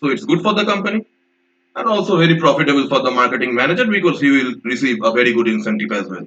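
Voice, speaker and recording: A man talks at a very fast pace in a fairly high pitch, with a bright, sharp tone, very wide pitch swings and some vocal fry. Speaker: vocabulary teacher. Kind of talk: lecture.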